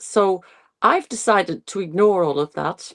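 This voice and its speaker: A woman speaks in an Irish accent at a fairly slow pace with ordinary pitch variation. The sound is dry and close with no echo, in a very clean recording with a silent background. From Ireland. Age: 60s. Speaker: nutrition and longevity coach. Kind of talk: interview. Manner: halting.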